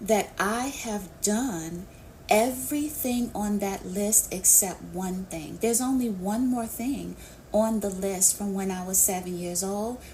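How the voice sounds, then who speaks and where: A woman with an American accent speaks very slowly in a dark, mellow, somewhat breathy tone with ordinary pitch variation. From New York City. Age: 50s. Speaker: business coach. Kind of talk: live Q&A interview. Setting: live online audio session.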